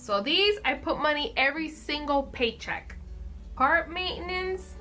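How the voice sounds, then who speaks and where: Over music in the background, a raised, projected voice speaks at a fairly slow pace with lively intonation. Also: woman, high pitch for a woman. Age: 20s. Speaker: budgeting video creator. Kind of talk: casual how-to talk to camera.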